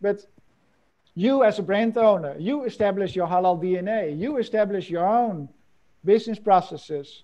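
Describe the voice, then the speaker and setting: This man's pitch sits high, with ordinary variation. He keeps a moderate pace. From Netherlands. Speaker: professor and supply chain consultant; professor. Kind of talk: webinar lecture. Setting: video call. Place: office. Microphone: earbuds.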